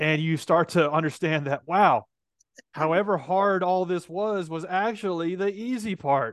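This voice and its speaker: This man's voice is high-pitched, with ordinary pitch movement, and he talks at a fairly slow pace. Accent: Tennessee. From US South, Nashville. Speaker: tech entrepreneur. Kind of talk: interview.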